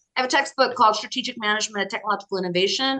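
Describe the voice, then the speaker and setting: With an American accent, a woman speaks at a medium pitch in a bright, sharp tone with ordinary pitch variation. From US, Colorado. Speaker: business professor and author. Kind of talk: interview.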